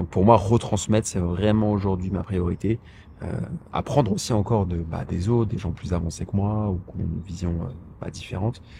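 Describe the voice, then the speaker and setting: This man has a very deep, low pitch and a dark, mellow tone that is somewhat breathy. He speaks at a moderate pace with ordinary pitch variation. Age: 30s. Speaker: author and personal finance YouTuber. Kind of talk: casual vlog monologue. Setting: outdoors in a park. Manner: hesitant, many fillers and repetitions.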